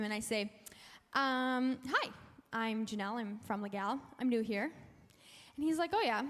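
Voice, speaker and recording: Over noticeable background noise, a woman talks at a high pitch. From Canada, Alberta (francophone community). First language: French. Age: young. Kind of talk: testimony. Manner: animated.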